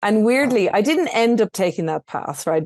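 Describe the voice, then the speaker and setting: In a dry, close sound with no echo, a woman speaks with an Irish accent at medium pitch. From Ireland, rural. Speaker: entrepreneur. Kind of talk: interview podcast.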